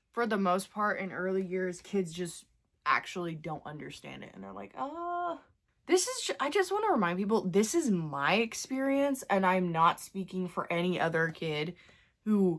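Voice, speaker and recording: A woman speaks at a fairly slow pace with a medium pitch and a bright, sharp tone, her loudness swinging widely. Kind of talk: casual get-ready-with-me talk to camera. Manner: chatty, rambling.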